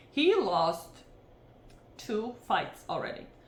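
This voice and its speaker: A woman is heard with audible room echo. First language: not English. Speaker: MMA fight analyst, channel host. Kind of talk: fight picks breakdown. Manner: casual, hesitant with many fillers.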